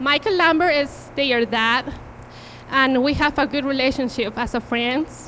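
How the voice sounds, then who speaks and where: A woman with a strong Peruvian accent uses a raised, projected voice at a high pitch, with ordinary pitch variation. She talks at a fairly slow pace with very even loudness over noticeable background noise. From Peru, Cusco. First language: Spanish. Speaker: invited speaker, mother. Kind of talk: personal testimony. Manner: halting.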